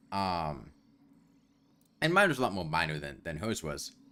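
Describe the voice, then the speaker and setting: Music plays in the background as a man speaks at a moderate pace. His very deep, low voice carries lively intonation. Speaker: gaming streamer. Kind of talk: casual chat.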